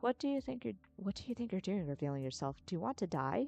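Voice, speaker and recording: A female-sounding put-on character voice rattles along at a very fast pace with a medium pitch, very wide pitch swings and a hissing quality. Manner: threatening, hissing.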